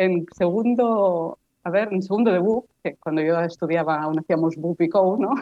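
A woman with an ordinary speaking voice keeps a moderate pace, her intonation lively. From Barcelona, Spain. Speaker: postdoctoral researcher in weed science. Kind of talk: interview.

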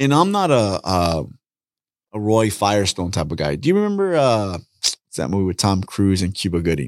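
An ordinary speaking voice from a man, fairly low in pitch, with lively intonation at a moderate pace, on a very clean recording with a silent background. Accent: American. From Southeast Los Angeles, California. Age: 40s. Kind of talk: casual chat.

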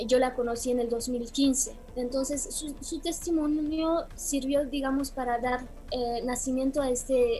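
Through audible room echo, a woman speaks at a high pitch and a very slow pace with fairly even intonation. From Romania. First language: Romanian (speaking Spanish). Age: 40s. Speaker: film director. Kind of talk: interview. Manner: halting.

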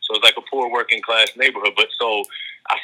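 A man speaks with a Baltimore accent. His pace is very fast. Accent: Baltimore, US Mid-Atlantic. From Baltimore, Maryland (South Baltimore). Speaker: high school basketball coach. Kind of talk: casual interview.

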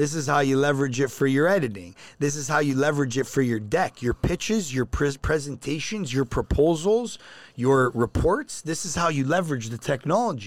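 Someone with a Toronto accent speaks at a fairly quick pace with lively intonation. The recording is very clean and the background silent. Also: man, fairly high pitch for a man. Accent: Canadian (Toronto). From Canada, Toronto. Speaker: financial company CEO. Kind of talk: casual interview.

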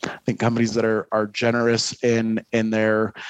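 With a dry, close sound and no echo, a man with an American accent speaks at a moderate pace and medium pitch. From US Midwest, Detroit. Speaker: marketing executive and adjunct professor. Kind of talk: casual interview. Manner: halting, many repeated words.

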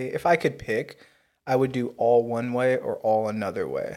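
A man with an American accent and an unremarkable speaking voice, medium in pitch, at a moderate pace. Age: 20s. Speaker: podcast host. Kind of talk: casual chat.

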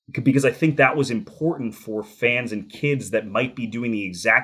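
In an unremarkable speaking voice with an American accent, a man talks at a moderate pace and medium pitch with ordinary pitch variation. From New Jersey. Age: 30s. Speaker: hockey play-by-play announcer. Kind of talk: interview.

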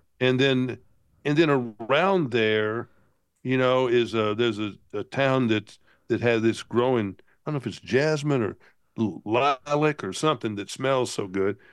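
Against a quiet background, a man speaks at a medium pitch and a fairly slow pace with ordinary pitch variation. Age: 60s. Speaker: travel enthusiast guest. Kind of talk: casual chat. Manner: halting.

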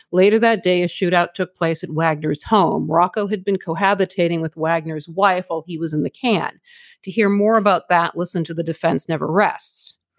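On a very clean recording with a silent background and a dry, close sound with no echo, a woman with an unremarkable speaking voice talks fairly quickly at a fairly low pitch, her intonation fairly even. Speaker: podcast co-host. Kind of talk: true-crime narration, two hosts trading off. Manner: measured, matter-of-fact, storytelling cadence; conversational, slightly apologetic, informal with listeners.

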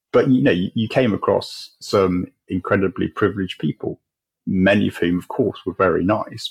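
This is a man with an English accent. His pace is fairly quick. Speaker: charity chief executive. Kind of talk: interview.

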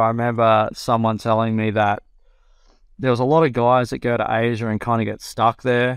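A man's medium-pitched voice with an Australian accent, monotone and flat, at a moderate pace. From New South Wales, Australia. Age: 30s. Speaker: professional golfer. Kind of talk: casual interview.

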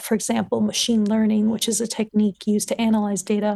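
A woman with a Californian accent speaks in a dark, mellow tone, somewhat breathy and flat in intonation, against a quiet background. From Los Angeles, California. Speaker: PhD student, vaccine researcher. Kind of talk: interview conversation.

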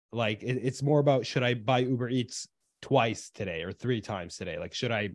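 A man with a plain, everyday voice at medium pitch, moderate pace, quiet background. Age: 20s. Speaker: podcast co-host. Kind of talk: casual chat.

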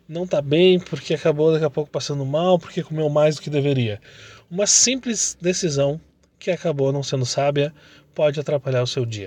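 With a somewhat breathy voice pitched fairly high, a man talks at a moderate pace and ordinary pitch variation. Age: 30s. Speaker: entrepreneur and motivational podcaster. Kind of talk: motivational monologue.

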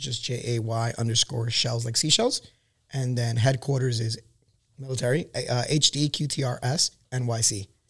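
This man has an ordinary speaking voice with an American accent and medium pitch. He talks at a moderate pace with fairly even intonation. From Queens, New York. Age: 30s. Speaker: Marine veteran and small business owner. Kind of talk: casual chat.

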